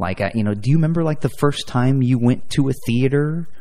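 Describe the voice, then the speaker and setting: With a Midwestern American accent, a man speaks in a dark, mellow tone at a fairly quick pace, his pitch varying in an ordinary way. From Indiana, Fort Wayne. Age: 30s. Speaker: podcast host. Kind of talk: casual chat.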